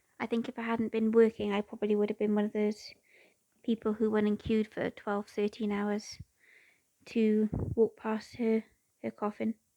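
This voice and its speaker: Speaking at a moderate pace with long, frequent pauses, a woman with a British accent uses a fairly high pitch, a dark, mellow tone and monotone, flat intonation, recorded with a dry, close sound and no echo. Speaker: cross-stitch crafter. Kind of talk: casual chat while stitching.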